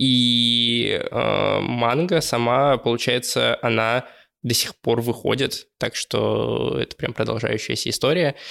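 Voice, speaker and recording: On a very clean recording with a silent background, a man speaks at a very slow pace with very even loudness. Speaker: anime podcast co-host. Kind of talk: casual chat. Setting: studio.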